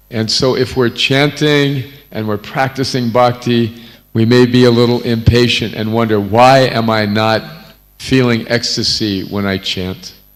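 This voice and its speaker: Over noticeable background noise, a man with an American accent speaks at medium pitch and a fairly slow pace, with fairly even intonation. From North America. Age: 70s. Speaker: visiting spiritual teacher. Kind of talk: religious discourse.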